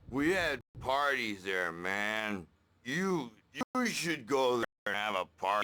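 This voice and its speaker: Using a put-on character voice, a man at a medium pitch moves slowly with very wide pitch swings. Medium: video game. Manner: gruff, coarse.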